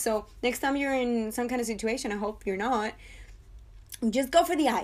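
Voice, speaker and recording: On a very clean recording with a silent background, a woman with a non-native accent speaks in a fairly high, animated voice. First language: not English. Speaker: TV review podcaster. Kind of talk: casual monologue review.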